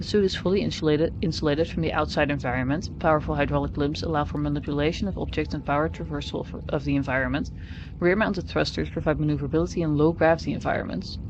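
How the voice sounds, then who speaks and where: The speech runs at a very fast pace, with noticeable background noise behind it. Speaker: streamer playing a video game. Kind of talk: gaming livestream, reading in-game text aloud. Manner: occasional stumbles and stutters over words.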